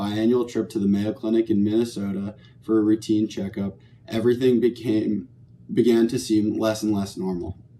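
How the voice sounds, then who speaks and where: Fairly even intonation shapes a man's dark, mellow tone. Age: 20s. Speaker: patient sharing testimony. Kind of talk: testimony. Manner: read from prepared text.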